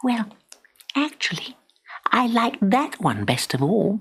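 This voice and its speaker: Someone performs a put-on character voice, delivering the lines fairly slowly. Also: man, high pitch for a man. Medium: read story.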